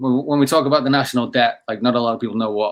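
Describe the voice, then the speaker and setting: With an English accent, a man talks at a medium pitch with fairly even intonation. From England. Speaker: company founder and CEO. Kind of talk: podcast conversation.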